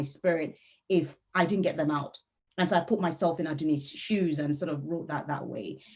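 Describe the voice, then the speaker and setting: A woman with a Yoruba accent and a fairly low pitch. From Nigeria (Yoruba). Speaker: novelist. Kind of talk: author interview.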